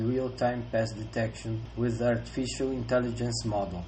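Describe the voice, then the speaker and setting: A man with a Brazilian accent talks at a moderate pace amid audible room echo. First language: Portuguese. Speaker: researcher. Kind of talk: conference presentation. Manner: formal.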